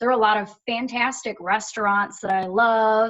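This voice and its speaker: A woman with a strong Michigan accent, a fairly high pitch and a fairly slow pace. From Michigan (Dearborn), US Midwest. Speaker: performer and voice actor. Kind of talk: casual interview chat.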